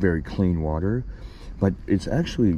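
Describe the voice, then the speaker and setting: Over noticeable background noise, a man speaks fairly slowly in a very deep, low pitch. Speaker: fishing vlogger. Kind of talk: casual vlog narration. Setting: outdoors on a kayak. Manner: quiet; excited.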